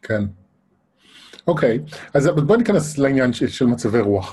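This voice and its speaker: A man's voice is dark, mellow in tone and somewhat breathy. He moves at a fairly quick pace with very wide pitch swings. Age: 40s. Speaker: interviewer. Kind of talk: interview. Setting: live online broadcast.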